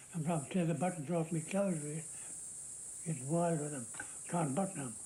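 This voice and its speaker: Talking at a fairly quick pace, a man with an Australian accent keeps his intonation fairly even. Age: 80s+. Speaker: war veteran. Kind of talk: interview. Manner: halting.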